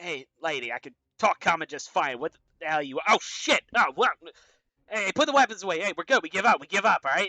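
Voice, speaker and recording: A man puts on a character voice, pitched high and raised and projected, moving at a fairly quick pace. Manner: startled, then pleading and bargaining.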